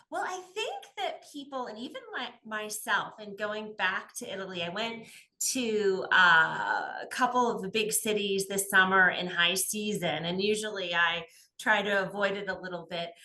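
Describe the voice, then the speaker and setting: An ordinary speaking voice from a woman with an American accent, medium pitch, ordinary pitch variation, big swings in loudness and a moderate pace. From United States. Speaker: travel podcast host. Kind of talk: podcast interview.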